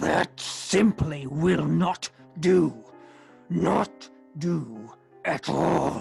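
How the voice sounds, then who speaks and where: A put-on character voice at middle pitch, very slow, with faint music in the background. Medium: read story.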